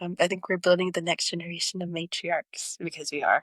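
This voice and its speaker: A woman's fairly low voice in an American accent, bright and sharp in tone, at a fairly quick pace, on a very clean recording with a silent background and a dry, close sound with no echo. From southwestern Oklahoma. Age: 20s. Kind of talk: interview conversation. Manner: earnest, many fillers.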